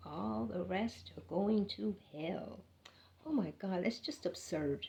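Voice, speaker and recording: A woman's dark, mellow voice with vocal fry and lively intonation. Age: 60s. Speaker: spiritual vlogger. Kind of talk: spiritual monologue. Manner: animated.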